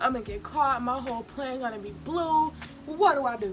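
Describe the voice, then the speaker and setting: With music in the background, a woman speaks at a high pitch. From Chicago, Illinois. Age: young. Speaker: YouTuber. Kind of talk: casual storytime talk to camera during mukbang.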